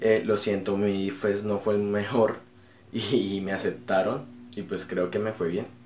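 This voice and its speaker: Fairly low pitch from a man, delivered at a fairly slow pace. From Colombia, Bucaramanga, Santander. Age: 20s. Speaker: YouTuber and English teacher. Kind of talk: casual vlog talk to camera.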